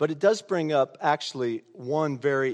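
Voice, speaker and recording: A man with an American accent and a normal speaking voice talks slowly-ish at a fairly slow pace in a fairly high pitch, the sound dry and close with no echo over a quiet background. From US Midwest, rural Indiana. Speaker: pastor. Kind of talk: sermon. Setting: church.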